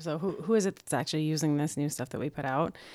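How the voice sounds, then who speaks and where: A woman with a slight Minnesotan accent, fairly low in pitch, very fast, with ordinary pitch variation, in a very clean recording with a silent background. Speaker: digital agile expert. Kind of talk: casual chat.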